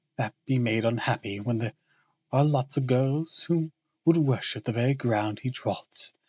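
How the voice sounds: Pitch variation is ordinary in this natural reading voice. Behind it, the background stays quiet.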